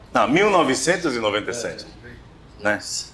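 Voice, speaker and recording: Against noticeable background noise, a man talks at a moderate pace with very wide pitch swings. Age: 50s. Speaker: round-table moderator. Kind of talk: round-table discussion.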